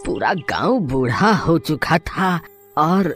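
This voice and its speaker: A man does a cartoonish character voice, pitched high, with clear music in the background. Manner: hesitant with filler sounds.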